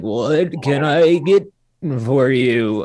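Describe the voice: A man adopts a put-on character voice pitched fairly high.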